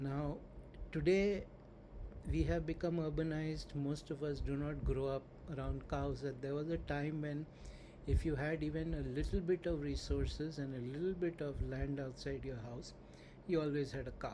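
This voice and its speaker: With audible room echo around him, a man speaks at a moderate pace. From India. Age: 60s. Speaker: spiritual teacher. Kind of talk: lecture.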